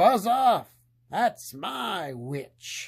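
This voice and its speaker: In a put-on character voice, a man growls and croaks at a high pitch with very wide pitch swings, on a very clean recording with a silent background. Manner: rude, dismissive.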